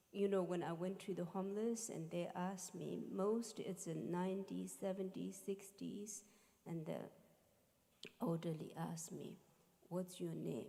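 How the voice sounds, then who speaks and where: This talker has a non-native accent. The delivery runs fairly slow. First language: not English. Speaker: musician and spiritual teacher. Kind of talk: talk to a live audience.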